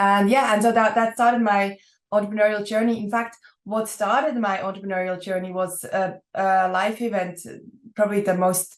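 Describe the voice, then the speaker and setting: Keeping a moderate pace, a woman with a Swiss accent speaks at a medium pitch in fairly even intonation. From Switzerland. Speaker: entrepreneur. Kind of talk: podcast interview.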